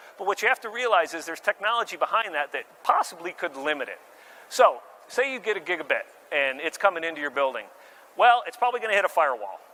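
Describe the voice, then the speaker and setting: A man's high, raised, projected voice at a very fast pace, with big swings in loudness. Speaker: marketing director presenting at tech expo. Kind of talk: conference presentation.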